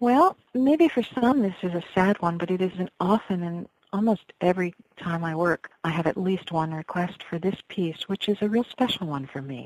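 An ordinary speaking voice with an American accent moves at a moderate pace with lively intonation. The sound is dry and close, with no echo. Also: woman, medium pitch for a woman. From New York (Westchester area). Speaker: folk singer. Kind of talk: interview.

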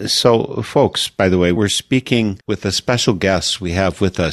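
At a fairly slow pace, a man talks in an ordinary speaking voice of fairly low pitch. He has a General American accent. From United States. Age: 60s. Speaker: radio host. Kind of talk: interview. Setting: video call.

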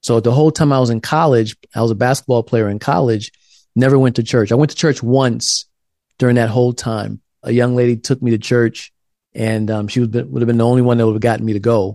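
In a dry, close recording with no echo, a man with an American accent speaks very fast at a medium pitch, his tone dark and mellow and his intonation fairly even. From South Carolina. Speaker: author and theologian. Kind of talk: interview conversation. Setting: video call.

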